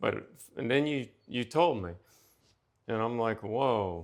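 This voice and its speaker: A man at a fairly slow pace, with ordinary pitch variation, against a quiet background. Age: 60s. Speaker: retired state police officer. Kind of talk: casual chat. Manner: halting.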